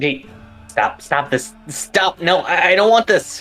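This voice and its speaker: Faint music plays behind a man doing a put-on character voice at a high pitch. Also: fairly slow pace. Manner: pleading.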